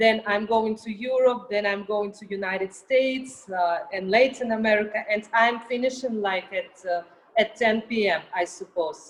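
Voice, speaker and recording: A woman speaks with a Russian accent and hardly pauses at all. Her loudness swings widely, and noticeable background noise sits behind her. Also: fairly high pitch for a woman, fairly even intonation, moderate pace. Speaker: artist and model. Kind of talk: interview.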